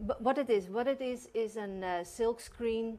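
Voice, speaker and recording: With a Dutch accent, a woman talks using ordinary pitch variation. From Netherlands. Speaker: art gallery owner. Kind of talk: interview on a local TV talk show. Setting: TV studio. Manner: hesitant, many fillers.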